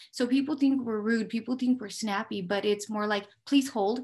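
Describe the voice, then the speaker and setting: Fairly high and somewhat breathy, a woman speaks at a moderate pace. Her pitch varies in an ordinary way. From Mexico. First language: Spanish. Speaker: police dispatcher. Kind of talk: career interview.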